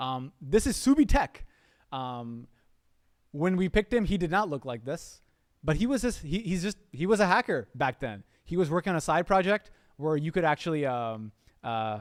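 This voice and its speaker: A man speaks at a fairly quick pace in a fairly high pitch with very wide pitch swings. The sound is dry and close, with no echo. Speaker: program founder hosting a livestream kickoff. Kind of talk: live presentation to online audience. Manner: casual, filler-heavy; fast.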